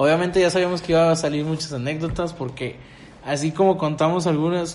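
A man with a Mexican accent speaks at a fairly quick pace and a fairly high pitch. Audible room echo and noticeable background noise fill the recording. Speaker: podcast host. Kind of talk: casual chat.

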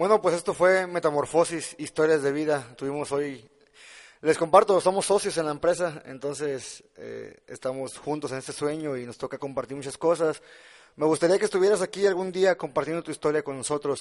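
An unremarkable speaking voice from a man, fairly high in pitch with ordinary pitch variation, moving at a moderate pace with big swings in loudness. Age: 20s. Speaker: podcast host and entrepreneur. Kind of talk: interview.

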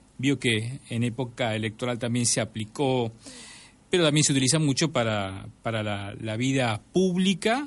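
This man speaks with an Argentine accent. His voice sits at a medium pitch. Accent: Rioplatense Argentine Spanish. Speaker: podcast host. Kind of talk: show intro and outro.

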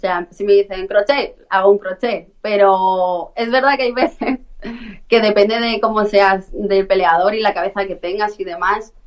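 The woman has an ordinary speaking voice at a medium pitch. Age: 20s. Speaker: professional fighter. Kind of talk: interview.

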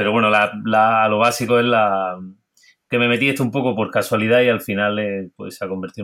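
Over a very clean recording with a silent background, a man with a fairly low pitch talks at a very fast pace with fairly even intonation. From Granada coast, Spain. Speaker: hospitality consultant and cook. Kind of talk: interview.

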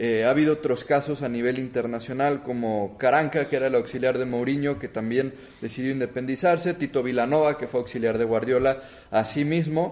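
A man with medium pitch and ordinary pitch variation has an ordinary speaking voice. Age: 20s. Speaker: podcast host. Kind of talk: interview.

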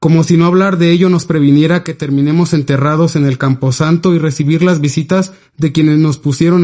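A man's fairly high, dark, mellow voice at a moderate pace with fairly even intonation. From Mexico, Oaxaca (Ixhuatán). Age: 20s. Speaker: history student. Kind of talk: reading aloud.

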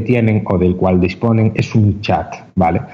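Noticeable background noise behind a man's fairly even intonation and moderate pace. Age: 20s. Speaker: esports entrepreneur. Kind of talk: interview. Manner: halting, frequent repetitions.

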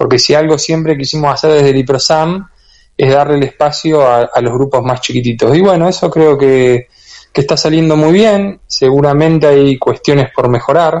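At a moderate pace and very even loudness, a man with a Rioplatense accent talks in a fairly high pitch with ordinary pitch variation. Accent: Argentine Spanish (rioplatense). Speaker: bee health researcher and institute director. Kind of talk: radio interview.

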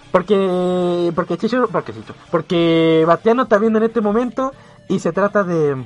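Music plays behind a man with a high pitch. He speaks at a moderate pace with ordinary pitch variation. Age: 20s. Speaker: radio host. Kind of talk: casual chat; scripted narration. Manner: animated.

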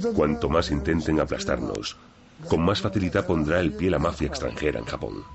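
Through noticeable background noise, a man with a very deep, low pitch speaks at a moderate pace with ordinary pitch variation. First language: Japanese (speaking Spanish). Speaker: yakuza boss. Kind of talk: documentary interview.

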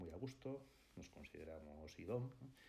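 A man's somewhat breathy voice with lively intonation at a fairly slow pace. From Basque Country, Spain (Hondarribia, Gipuzkoa). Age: 60s. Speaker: architect and firm partner. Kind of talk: interview. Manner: hesitant, many fillers.

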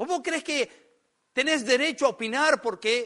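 In an Argentine accent, a man speaks at a very slow pace in a raised, projected voice, extremely high in pitch with a bright, sharp tone, and the sound is dry and close with no echo. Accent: Argentine Spanish (rioplatense voseo). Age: 50s. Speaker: pastor. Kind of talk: sermon.

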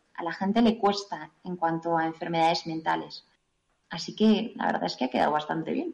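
At a fairly quick pace, a woman speaks in a normal speaking voice with ordinary pitch variation. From Spain, Navarre (Pamplona). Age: 20s. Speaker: nursing student and author. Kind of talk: interview testimony.

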